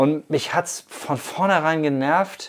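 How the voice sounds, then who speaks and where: A man talks with ordinary pitch variation. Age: 50s. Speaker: podcast host and bike commuter. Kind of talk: casual interview. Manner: hesitant with many fillers.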